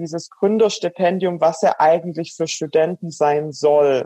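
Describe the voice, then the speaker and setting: Her tone dark and mellow, a woman with a Swabian accent speaks slowly-ish at a fairly low pitch, with fairly even intonation and a fairly slow pace. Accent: Swabian dialect, noticeable. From Swabian Alb, Baden-Württemberg. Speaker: startup founder and cyclist. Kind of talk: interview.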